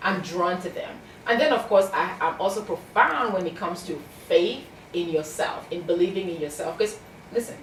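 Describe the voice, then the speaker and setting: A woman in a Cameroonian accent, medium in pitch with ordinary pitch variation, at a moderate pace, amid noticeable background noise and audible room echo. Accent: Cameroonian (Bamenda). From Cameroon, anglophone Bamenda region. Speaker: success coach and author. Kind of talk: interview. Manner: animated.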